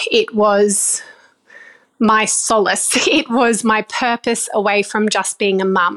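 Very slowly, a woman with an Australian accent speaks at a fairly high pitch in a monotone, flat intonation with very even loudness. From Australia, far North Queensland. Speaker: vegetable farmer. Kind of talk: interview. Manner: hesitant with frequent fillers.

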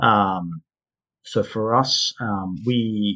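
A man with an Australian accent speaks at a fairly low pitch, his tone bright and sharp. The sound is dry and close with no echo, over a quiet background. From Perth, Western Australia. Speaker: mining company managing director. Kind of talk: interview.

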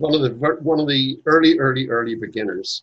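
This man sounds somewhat breathy. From Northern Ireland. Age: 80s. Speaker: author and Masonic educator. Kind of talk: casual interview conversation.

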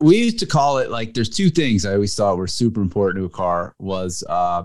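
A man with a plain, everyday voice and an American accent at a fairly quick pace, with lively intonation. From US, New Jersey. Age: middle-aged. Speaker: car magazine editor. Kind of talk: casual chat.

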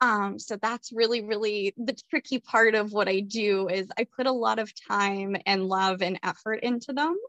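A woman with a fairly high pitch speaks at a moderate pace with hardly any pauses. Her intonation is fairly even, and the sound is dry and close with no echo. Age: 20s. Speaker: numerology reader and spiritual guest. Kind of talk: casual interview chat.

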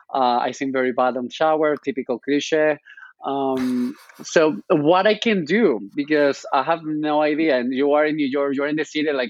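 In a Spanish accent, a fairly high-pitched man speaks with fairly even intonation. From Spain. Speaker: journalist and social media creator. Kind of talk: interview conversation. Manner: hesitant, with fillers and repetitions.

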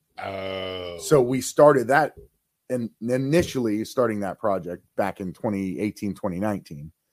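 The voice, in an American accent, moves at a very slow pace with lively intonation and big swings in loudness. The sound is dry and close with no echo. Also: man, fairly low pitch for a man. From northeast Ohio, Mahoning Valley. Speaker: city manager. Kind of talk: casual chat.

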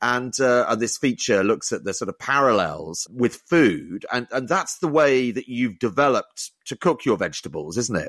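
Against a quiet background, a man talks at a moderate pace with vocal fry. His pitch swings very widely. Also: medium pitch for a man. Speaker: podcast host. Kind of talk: interview. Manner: loud.

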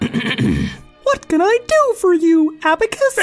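In a squeaky, put-on character voice at an extremely high pitch, the speaker goes at a very slow pace over faint background music. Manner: cheery.

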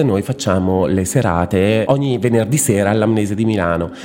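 Fairly brisk male speech over clearly audible background noise. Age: 40s. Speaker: drag performer and graphic designer. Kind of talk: interview.

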